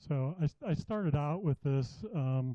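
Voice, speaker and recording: A soft-spoken man with a fairly high pitch, a dark, mellow tone and ordinary pitch variation, in a dry, close sound with no echo. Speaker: woodturning demonstrator. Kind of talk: live demonstration. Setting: club workshop with audience.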